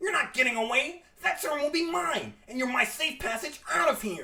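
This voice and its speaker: In a put-on character voice, the speaker uses a high pitch with very wide swings at a moderate pace. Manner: menacing, shouting, triumphant.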